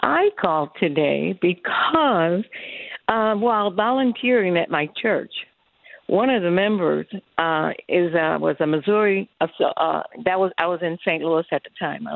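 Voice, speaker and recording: A normal speaking voice from a woman with an American accent, fairly low in pitch, fairly slow, with ordinary pitch variation. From US Midwest. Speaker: chef. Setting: phone call.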